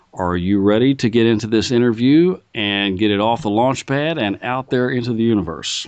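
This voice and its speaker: This man has a plain, everyday voice at medium pitch. His intonation is lively. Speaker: interviewer. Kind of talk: interview questions.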